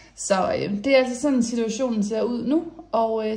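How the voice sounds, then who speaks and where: Audible room echo around a woman speaking with ordinary pitch variation. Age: 20s. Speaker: lifestyle vlogger. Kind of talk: casual vlog talk. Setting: voiceover recorded indoors. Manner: hesitant with many fillers.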